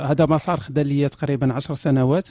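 The delivery moves at a moderate pace with fairly even intonation. The tone is dark and mellow. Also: man. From Morocco. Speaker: atheist online critic of religion. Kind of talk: interview.

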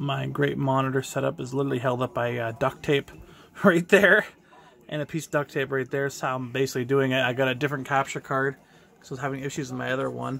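A man speaks at a fast pace, his pitch medium and his tone fairly bright. Vocal fry shows up in his voice. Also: fairly even intonation.

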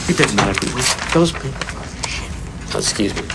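A man whispers over noticeable background noise. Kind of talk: documentary clip of political campaign conversation. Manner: whispered, low volume.

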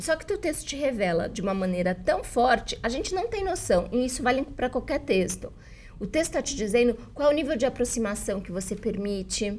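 Talking at a fairly quick pace, a woman makes very wide pitch swings. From Brazil. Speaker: journalist and writing teacher; journalist, writing teacher. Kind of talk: interview. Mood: warm, earnest. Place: studio. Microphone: lapel.

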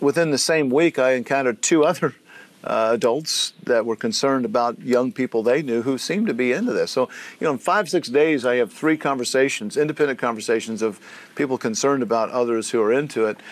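Speaking very fast with ordinary pitch variation, a man is heard in a dry sound with no echo. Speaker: lecturer. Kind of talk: lecture. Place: meeting room.

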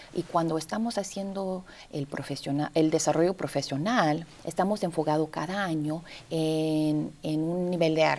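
A woman with a very deep, low voice speaks at a fairly slow pace with fairly even intonation. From US South, Texas (McAllen, Rio Grande Valley); Texas. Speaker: actress and arts education coordinator; interview guest, arts educator. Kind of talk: TV interview. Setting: TV studio. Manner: halting, many fillers. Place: studio. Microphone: lapel.

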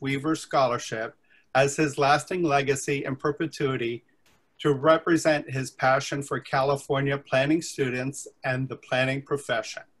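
Somewhat breathy, a man speaks at a moderate pace with fairly even intonation over a quiet background. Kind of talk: formal presentation. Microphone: webcam.

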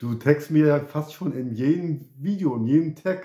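A man's fairly high voice, dark and mellow in tone, at a very slow pace. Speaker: YouTuber. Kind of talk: casual vlog chat. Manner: halting, repeats words.

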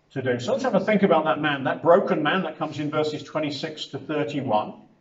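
A man speaks at a moderate pace, with audible echo in the room. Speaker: preacher. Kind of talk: sermon. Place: hall. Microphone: camera far.

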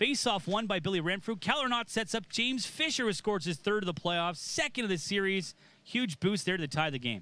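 A man talks at a fairly quick pace in a high, raised and projected voice with hardly any pauses. His tone is bright, sharp and energetic, with lively intonation. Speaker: play-by-play commentator. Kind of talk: sports commentary. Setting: highlights voiceover. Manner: fast, energetic play-by-play delivery; polished, broadcast-style.

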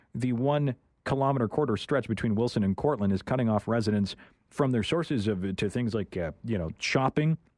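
Against a quiet background, a man's voice comes through dry with no echo, his pitch varying in an ordinary way. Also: fairly quick pace. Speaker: radio host. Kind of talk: radio interview hosting. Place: studio.

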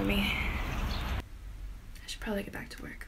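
A woman speaks at a moderate pace. The sound is dry with no echo, and there is noticeable background noise. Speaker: voice over artist. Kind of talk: casual talk to camera. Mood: warm, grateful, playful.

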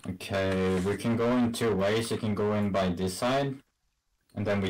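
A man speaks in a very deep, low voice. His pace is moderate and his intonation fairly even. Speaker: game streamer. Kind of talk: casual gaming commentary to teammates. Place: home room.

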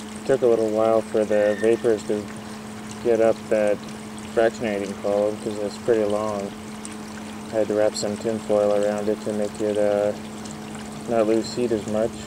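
Speaking at a moderate pace with long, frequent pauses, the voice sounds dry with no echo over noticeable background noise. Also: man, fairly low pitch for a man. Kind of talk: casual tutorial narration. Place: garden. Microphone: phone near.

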